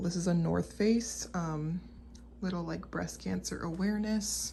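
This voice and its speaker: Someone whispers at a moderate pace, with audible room echo around the voice. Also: woman. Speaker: clothing reseller, channel owner. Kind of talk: product showcase video. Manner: whispering.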